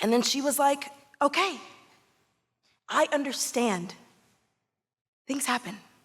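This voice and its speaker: High in pitch, a woman speaks with a Southern US accent. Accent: Southern American. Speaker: stage actress. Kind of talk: live theatrical storytelling monologue. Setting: live theatre with audience reactions.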